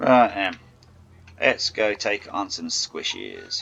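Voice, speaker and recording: Over noticeable background noise, a man talks at a very slow pace in a relaxed tone. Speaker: gaming youtuber. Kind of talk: gameplay commentary. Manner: casual, relaxed.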